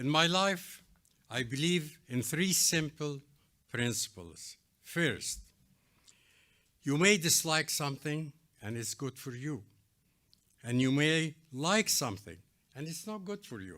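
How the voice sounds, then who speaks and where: A man speaks at a fairly slow pace in a fairly high voice with a bright, sharp tone, lively intonation, big swings in loudness and long, frequent pauses, on a very clean recording with a silent background. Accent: Arabic. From Egypt. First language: Arabic. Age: 80s+. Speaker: architect, award honoree. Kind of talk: award acceptance speech.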